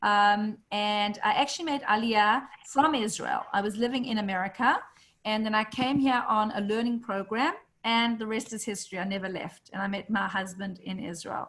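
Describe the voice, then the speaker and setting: Ordinary pitch variation marks a woman's fairly high voice. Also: moderate pace. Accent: South African. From South Africa. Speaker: real estate agent and community call host. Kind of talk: online community call introduction.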